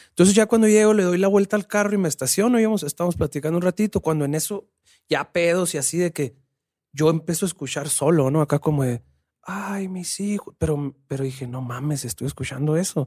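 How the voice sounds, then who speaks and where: A man with a high, dark, mellow voice speaks at a fairly quick pace with ordinary pitch variation. The sound is dry and close, with no echo. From Sonora, northern Mexico. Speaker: rapper and musician. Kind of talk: casual chat.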